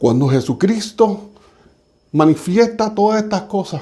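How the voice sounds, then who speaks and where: Using very wide pitch swings, a man speaks in a dark, mellow tone. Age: 60s. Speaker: church speaker. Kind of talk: sermon. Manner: halting.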